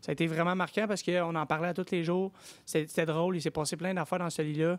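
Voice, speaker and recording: A man with a Quebec accent, high pitch, monotone, flat intonation, very even loudness and a very fast pace, in a very clean recording with a silent background. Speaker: reality TV contestant. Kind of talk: interview. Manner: hesitant, repetitive.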